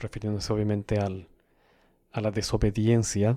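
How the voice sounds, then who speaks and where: Over a silent background in a very clean recording, a man speaks at a moderate pace in a fairly low, dark, mellow tone, his intonation monotone and flat and the sound dry and close with no echo. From South America. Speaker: podcast host. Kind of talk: solo educational podcast monologue. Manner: measured, explanatory.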